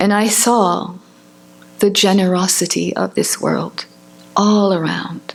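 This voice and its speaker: A woman speaks at a very slow pace in a medium pitch, with long, frequent pauses and monotone, flat intonation. Her loudness stays very even over noticeable background noise. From France. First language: Spanish. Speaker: professor and writer. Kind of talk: reading aloud.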